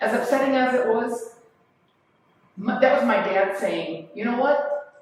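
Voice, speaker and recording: Audible room echo around speech of moderate pace and ordinary pitch movement. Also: woman. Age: 60s. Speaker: eldercare specialist speaker. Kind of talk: talk with audience Q&A.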